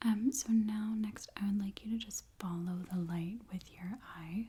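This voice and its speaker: The voice is whispering. It is soft-spoken. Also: woman. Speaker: ASMR creator playing an urgent care doctor. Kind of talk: ASMR medical role-play, soft spoken exam. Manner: soft-spoken, calming, whispery.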